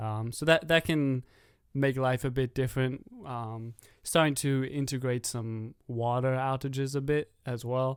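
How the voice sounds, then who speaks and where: A man talks with a South African accent at a medium pitch. His intonation is flat and monotone, and his pace is fairly slow. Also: very clean recording, silent background. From South Africa, Johannesburg. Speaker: podcast guest. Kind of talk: casual chat. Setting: studio.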